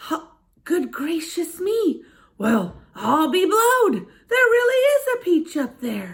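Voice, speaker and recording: A woman puts on a squeaky character voice at an extremely high pitch, raised and projected. Her pitch swings very widely at a fairly slow pace. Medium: read story. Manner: greedy, petulant.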